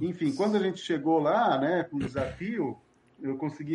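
An unremarkable speaking voice, a man's at a fairly high pitch, fairly slow, with ordinary pitch variation. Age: 50s. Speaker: cultural manager. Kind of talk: interview.

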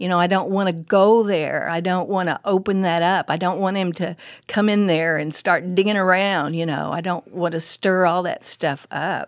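A woman talks at a moderate pace with hardly any pauses. Her intonation is monotone and flat, on a very clean recording with a silent background. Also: medium pitch for a woman. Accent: Oklahoma. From Oklahoma, Muskogee and Midwest City. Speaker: women's ministry speaker, former pastor. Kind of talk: casual interview with teaching. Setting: studio.

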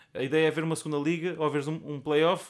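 A man with a fairly high pitch on a very clean recording with a silent background. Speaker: podcast co-host. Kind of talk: casual chat.

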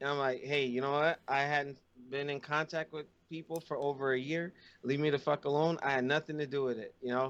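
This man talks at a fairly quick pace and a fairly high pitch. His intonation stays monotone and flat. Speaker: podcast co-host. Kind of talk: casual chat.

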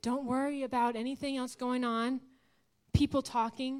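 A woman speaks loudly at a moderate pace, her high-pitched voice flat and monotone. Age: 20s. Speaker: guest preacher. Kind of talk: sermon. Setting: church.

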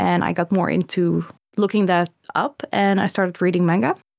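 With a Dutch accent, the speaker talks at a moderate pace in a dry, close sound with no echo, on a very clean recording with a silent background. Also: woman. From Netherlands. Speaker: illustrator and comic artist. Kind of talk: interview.

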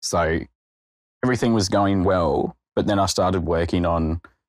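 This man has an Australian accent, a very deep, low pitch, ordinary pitch variation and a moderate pace. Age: 20s. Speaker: junior lawyer. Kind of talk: interview testimony.

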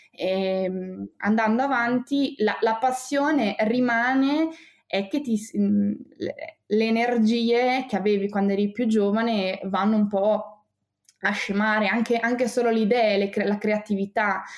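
Keeping her loudness very even, a woman with a fairly high pitch speaks at a very slow pace. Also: ordinary pitch variation. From Bologna, northern Italy. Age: 20s. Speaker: primary school teacher. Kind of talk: interview.

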